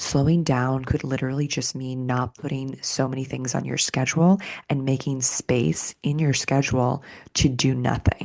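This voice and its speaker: A soft-spoken voice moves at a fairly slow pace. Its intonation is fairly even. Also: woman. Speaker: somatics teacher and podcast host. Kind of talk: podcast monologue. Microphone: close to the mic.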